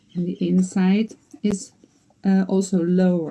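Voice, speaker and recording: Somewhat breathy and dark, mellow in tone, the woman's voice sits at a medium pitch. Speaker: quilter and box maker. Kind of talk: tutorial.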